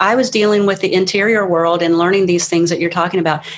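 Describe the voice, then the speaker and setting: A woman talking at a very fast pace. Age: 60s. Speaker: life coach. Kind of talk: interview.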